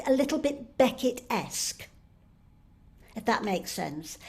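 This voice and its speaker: A high-pitched woman with a Manchester accent, speaking at a moderate pace. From northern England, Stretford near Manchester. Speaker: playwright and actor. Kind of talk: keynote lecture. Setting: online conference. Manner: halting.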